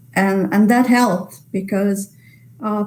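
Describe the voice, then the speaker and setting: Somewhat breathy, a woman speaks at a medium pitch with fairly even intonation. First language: Italian. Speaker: literary translator. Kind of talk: webinar Q&A. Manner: halting.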